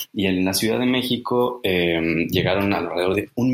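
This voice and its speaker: Fairly low-pitched male voice at a moderate pace, ordinary pitch variation, noticeable background noise. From Mexico. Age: 30s. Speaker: conference interpreter and translator. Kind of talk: interview.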